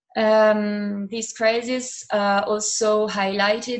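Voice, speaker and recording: A woman speaks with an Italian accent in a monotone, flat intonation. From Italy, Milan area. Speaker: university student. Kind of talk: interview testimony. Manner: halting, many fillers.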